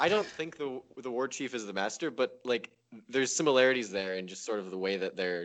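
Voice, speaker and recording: A man with an ordinary speaking voice talks fairly quickly at a medium pitch, his intonation lively. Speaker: podcast guest. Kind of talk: casual chat.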